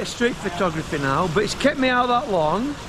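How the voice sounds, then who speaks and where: A man with a Lancashire accent at a moderate pace, lively intonation, noticeable background noise and audible room echo. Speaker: YouTuber. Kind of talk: casual vlog chat. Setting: outdoors. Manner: chatty.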